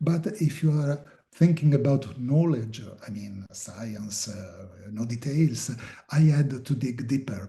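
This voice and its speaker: With an Italian accent, a man speaks at a very slow pace in a somewhat breathy voice with a dark, mellow tone, lively intonation and big swings in loudness. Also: medium pitch for a man. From Italy. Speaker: filmmaker and journalist. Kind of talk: interview. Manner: halting, many fillers.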